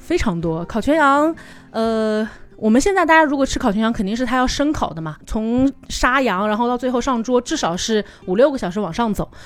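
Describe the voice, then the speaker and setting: The voice makes very wide pitch swings. It moves at a fairly quick pace. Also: woman, high pitch for a woman. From China, Changsha (Hunan). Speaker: tour leader and travel product planner. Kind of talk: casual chat.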